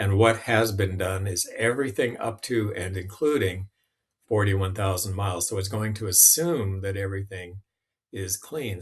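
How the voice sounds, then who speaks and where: A man with a fairly low pitch talks at a moderate pace, somewhat breathy, with ordinary pitch variation. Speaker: app demonstrator. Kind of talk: tutorial. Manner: casual, with fillers.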